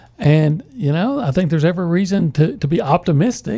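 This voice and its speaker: At a fairly quick pace, a man speaks with a high pitch and a dark, mellow tone. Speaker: sports writer. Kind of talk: casual chat. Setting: radio studio. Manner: strange speech pattern.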